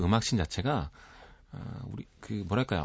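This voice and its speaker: His pitch swings very widely as the man speaks fairly slowly. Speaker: music critic. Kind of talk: radio music commentary. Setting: radio studio.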